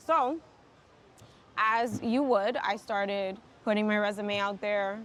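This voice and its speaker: At a very slow pace, a woman talks in a fairly high voice with ordinary pitch variation and very even loudness. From New York City, Dominican American. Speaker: tech professional. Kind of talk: casual interview chat.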